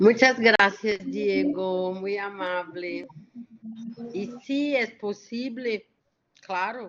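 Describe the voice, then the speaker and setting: A woman with a medium pitch speaks very slowly, with long, frequent pauses. Her loudness swings widely, while her pitch variation is ordinary. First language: Portuguese (speaking Spanish). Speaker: lecturer. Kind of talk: q&a discussion.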